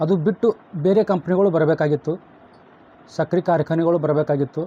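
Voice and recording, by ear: A man speaks at a fairly high pitch. His pace is fairly quick. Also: fairly even intonation.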